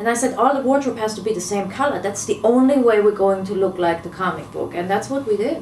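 Speaking at a very fast pace with hardly any pauses, a woman has a medium pitch. There is audible room echo along with noticeable background noise. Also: ordinary pitch variation. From Germany. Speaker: film director. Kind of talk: interview.

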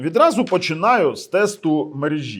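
Heard on a very clean recording with a silent background, a man with a fairly high pitch speaks at a fairly slow pace. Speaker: tech reviewer. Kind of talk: product review. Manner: casual, conversational.

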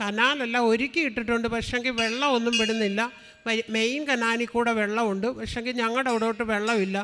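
Amid noticeable background noise, a woman speaks in a fairly high pitch with monotone, flat intonation and very even loudness. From Thiruvalla, Kerala. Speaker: churchgoer giving testimony. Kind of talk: testimony.

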